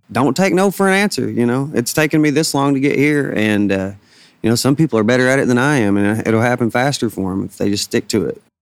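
With a Southern US accent, a man speaks in a lively intonation. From Arkansas Delta (Bald Knob). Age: 30s. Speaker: singer-songwriter. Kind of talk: interview.

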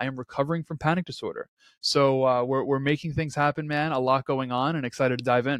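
In a very clean recording with a silent background and a dry, close sound with no echo, a man with a New York accent talks very fast at a fairly high pitch in a flat monotone. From Queens, New York City. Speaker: entrepreneur and podcast host. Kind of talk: interview.

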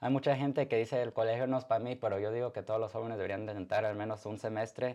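A man speaks very fast at a medium pitch, his tone dark and mellow. His intonation is fairly even, and the background is quiet. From Mexican-American, born in Arizona, Zacatecas roots. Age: 20s. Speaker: DJ and photographer. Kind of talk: interview. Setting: live-streamed studio interview.

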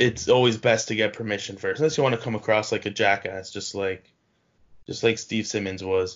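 With a normal speaking voice, a man talks at a fairly quick pace, his fairly low pitch held to fairly even intonation. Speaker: podcast host. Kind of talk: casual chat.

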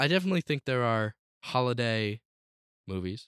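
On a very clean recording with a silent background and a dry, close sound with no echo, a man speaks at a medium pitch with lively intonation and an animated tone. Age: young. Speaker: podcast co-host. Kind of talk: casual chat. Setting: home basement.

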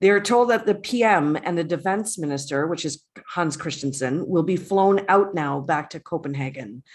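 A woman with an unremarkable speaking voice, fairly low in pitch, talks at a moderate pace with lively intonation over a quiet background. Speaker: podcast co-host. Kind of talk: casual recap discussion. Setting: home recording, remote.

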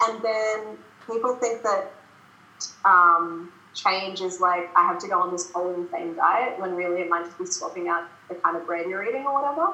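A woman talks at a moderate pace in an Australian accent, her pitch medium with ordinary variation. Noticeable background noise and audible room echo surround her voice. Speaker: productivity coach. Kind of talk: casual interview chat. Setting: video call. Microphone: poor audio on her end.

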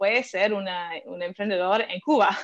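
A woman with an American accent talks with ordinary pitch variation. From US, Philadelphia. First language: English (speaking Spanish). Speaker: venture capital investor. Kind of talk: interview. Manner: halting, with fillers.

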